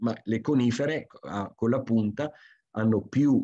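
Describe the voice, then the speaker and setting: Against a quiet background, a dark, mellow voice goes at a fairly slow pace with fairly even intonation. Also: man. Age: 50s. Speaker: forester; presenter. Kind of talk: lecture. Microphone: video call.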